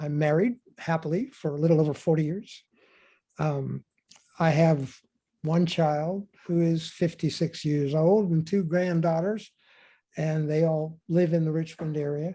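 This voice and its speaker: A man with an American accent speaks at a fairly high pitch in a dark, mellow tone. His intonation is fairly even, his pace fairly slow, with long, frequent pauses. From Pittsburgh, Pennsylvania. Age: 70s. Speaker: retired anthropology professor and photographer. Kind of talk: interview, talking about himself.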